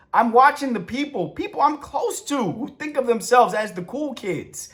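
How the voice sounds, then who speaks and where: A man speaks in an animated tone. Noticeable background noise runs underneath. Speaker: author and TV writer giving content advice. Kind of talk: rant. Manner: loud.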